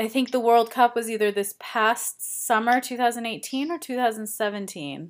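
Heard over a silent background in a very clean recording, the speaker has an American accent and a normal speaking voice. The intonation stays fairly even. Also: woman. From United States. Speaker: podcast host. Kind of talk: interview.

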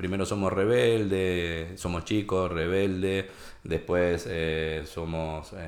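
Very deep and low, a man's voice moves at a fairly slow pace. There is audible room echo. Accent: Rioplatense. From Argentina, Junín (Buenos Aires province). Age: 50s. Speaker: entrepreneur and financial educator. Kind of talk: casual interview chat. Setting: his place of business.

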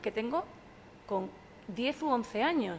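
A woman speaks with lively intonation. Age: 40s. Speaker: sommelier and social media communicator. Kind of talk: casual chat.

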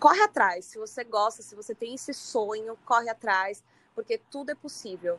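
In a plain, everyday voice, a woman speaks at a moderate pace and a fairly high pitch, with ordinary pitch variation, big swings in loudness, and a dry, close sound with no echo. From Santos, São Paulo coast, Brazil. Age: 30s. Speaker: singer. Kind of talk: casual interview chat.

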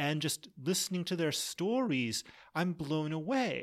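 A man with an American accent talks at a fairly slow pace, his pitch high and his intonation lively. The recording is very clean, with a silent background. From Massachusetts. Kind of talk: interview.

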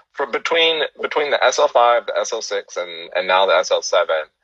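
A man speaks with a Californian accent. His pace is moderate. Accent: American (Californian). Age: 30s. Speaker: cyclist and photographer, podcast host. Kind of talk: casual interview chat. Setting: video call, live stream.

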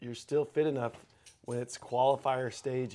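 With an American accent, a man speaks in fairly even intonation. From Texas. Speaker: podcast co-host, gym owner. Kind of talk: casual chat.

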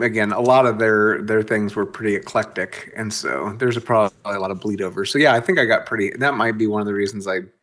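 A man's plain, everyday voice at a fairly quick pace, on a very clean recording with a silent background. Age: 40s. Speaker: podcast co-host. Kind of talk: casual chat.

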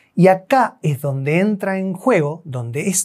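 The man speaks in a high pitch. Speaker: chiropractor / spine health professional. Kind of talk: educational explainer video.

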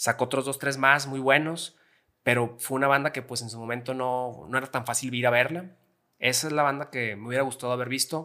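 A man speaks at a medium pitch and a fairly quick pace, with a bright, sharp tone and fairly even intonation. The recording is very clean, with a silent background. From Mexico, Gómez Palacio, Durango (La Laguna region). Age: 30s. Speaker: rock music fan. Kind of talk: casual chat.

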